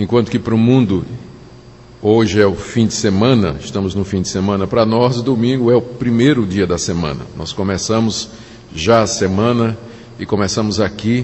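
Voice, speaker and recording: Over noticeable background noise and audible room echo, a man with a fairly low pitch speaks with a Pernambuco accent. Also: ordinary pitch variation, moderate pace. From Brazil, Recife (Pernambuco). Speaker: pastor. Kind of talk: sermon.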